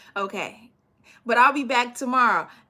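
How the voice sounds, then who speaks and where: A woman uses a raised, projected voice with a bright, sharp tone. She keeps a moderate pace. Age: 40s. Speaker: business coach for cleaning companies. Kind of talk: live stream Q&A. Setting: live stream. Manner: casual, conversational with many fillers.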